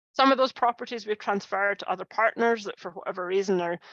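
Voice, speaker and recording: Talking at a very fast pace, a woman uses a medium pitch with ordinary pitch variation and a Scottish accent. The sound is dry and close with no echo against a quiet background. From Scotland. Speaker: conservation scientist. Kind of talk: lecture. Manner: halting, many fillers.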